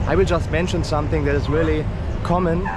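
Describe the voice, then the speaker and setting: A man with a German accent speaks over noticeable background noise. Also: dry sound with no echo. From Germany. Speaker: travel vlogger. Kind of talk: travel vlog. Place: street. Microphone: phone near.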